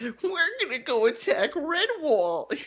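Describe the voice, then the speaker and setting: Someone speaks in a put-on character voice at a high pitch, with a timid tone and a fairly slow pace. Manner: goofy, timid.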